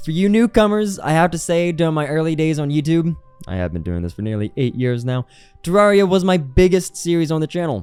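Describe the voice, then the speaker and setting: A man's fairly high pitch with music in the background. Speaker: gaming YouTuber. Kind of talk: scripted commentary.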